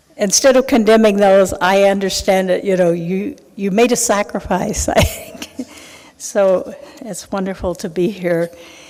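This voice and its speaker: A woman at medium pitch and a fairly slow pace, with ordinary pitch variation over noticeable background noise. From Oklahoma. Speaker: historian. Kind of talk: lecture. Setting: lecture hall with audience.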